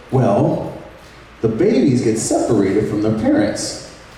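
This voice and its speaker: Audible room echo and noticeable background noise around fairly slow speech. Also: man. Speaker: speaker giving a testimony. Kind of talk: testimony. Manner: loud; casual, storytelling.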